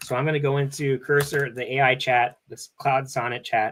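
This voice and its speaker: A man's medium-pitched voice with a bright, sharp tone. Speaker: programming streamer. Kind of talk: live coding tutorial. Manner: casual, filler-heavy.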